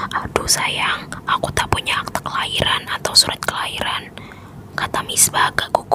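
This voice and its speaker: Noticeable background noise is present throughout. A woman is whispering at a moderate pace. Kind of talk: ASMR bedtime story reading. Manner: whispered, soft-spoken.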